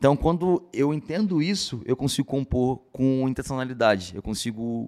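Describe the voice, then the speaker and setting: A man's dark, mellow voice at medium pitch, moderate pace and lively intonation, in a dry, close recording with no echo. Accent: strong carioca. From Rio de Janeiro, Brazil. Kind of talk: casual interview testimony.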